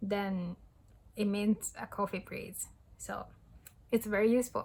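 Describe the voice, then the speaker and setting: A woman's fairly high voice in a Japanese accent, at a moderate pace with fairly even intonation. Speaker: language tutorial youtuber. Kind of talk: tutorial. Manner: hesitant with frequent fillers.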